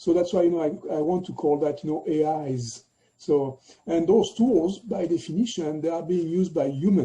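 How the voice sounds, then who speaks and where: A man with a French accent speaks at a moderate pace, his pitch high for a man and his tone dark and mellow. His pitch moves with ordinary variation. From France. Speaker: tech executive. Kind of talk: interview. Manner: halting, many fillers.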